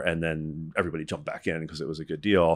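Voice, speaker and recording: A man with an American accent talks at a very fast pace. The recording is very clean, with a silent background. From US Northeast. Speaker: tech company founder and CEO. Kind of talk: interview.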